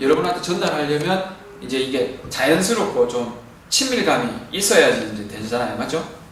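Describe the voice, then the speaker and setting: Noticeable background noise fills the recording. The words come at a fairly quick pace. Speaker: math tutor. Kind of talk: tutorial. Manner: casual.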